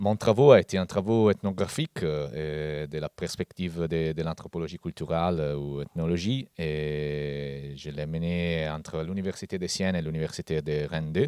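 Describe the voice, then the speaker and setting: Speaking in an Italian accent, a man has a very deep, low pitch and a dark, mellow tone with ordinary pitch variation. He keeps a moderate pace with hardly any pauses, and the sound is dry and close with no echo. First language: Italian (speaking French). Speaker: anthropologist. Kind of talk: conference talk. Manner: hesitant.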